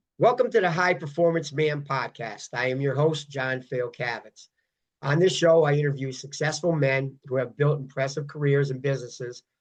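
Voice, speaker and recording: With a plain, everyday voice, the man talks at a moderate pace, his pitch fairly high and its variation ordinary. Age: 60s. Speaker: podcast host and fitness coach. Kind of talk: interview.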